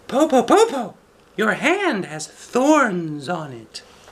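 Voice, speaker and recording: A man puts on a character voice at an extremely high pitch. He speaks at a very slow pace with very wide pitch swings. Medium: read story. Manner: careful, clever.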